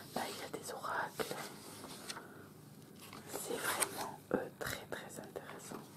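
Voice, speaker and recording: The whispering moves at a very slow pace. Long, frequent pauses break it up over noticeable background noise. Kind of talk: ASMR magazine presentation. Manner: whispered; slow, calm, hesitant.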